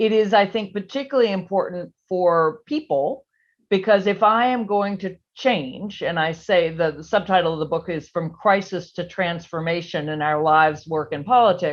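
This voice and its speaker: A woman's ordinary speaking voice, medium in pitch, with an American accent, ordinary pitch variation, a moderate pace, and a quiet background. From US South, Virginia. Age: 60s. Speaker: policy analyst and author. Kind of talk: interview. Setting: video call.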